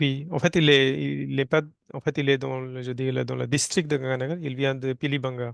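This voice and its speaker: In a Hindi accent, a man speaks at a moderate pace and medium pitch, his intonation monotone and flat, the sound dry and close with no echo. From North India (Rajasthan). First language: Hindi (speaking French). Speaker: environmental engineer and Hindi teacher. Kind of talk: interview. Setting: studio. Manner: halting, many hesitations.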